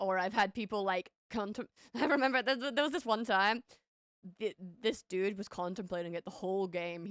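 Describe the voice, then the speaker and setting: In a plain, everyday voice, a woman speaks at medium pitch and a moderate pace with ordinary pitch variation, the sound dry and close with no echo. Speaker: streamer chatting with viewers. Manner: casual, laughs easily.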